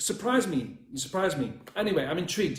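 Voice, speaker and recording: Very wide pitch swings in a man's voice pitched high. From northern England, Northumberland. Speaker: dating coach. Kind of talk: livestream coaching talk. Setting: live video stream. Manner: fast.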